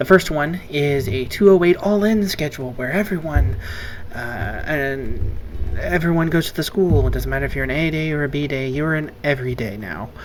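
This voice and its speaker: A man speaks quietly at a moderate pace with lively intonation and a fairly high pitch. Noticeable background noise can be heard. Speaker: English teacher. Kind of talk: casual vlog to students. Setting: at home late at night. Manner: quiet, subdued.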